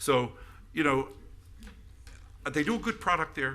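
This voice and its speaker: Lively intonation runs through this man's bright, sharp tone. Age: 70s. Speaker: city commissioner. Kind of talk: public meeting remarks. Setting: city commission meeting. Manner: halting, with many restarts.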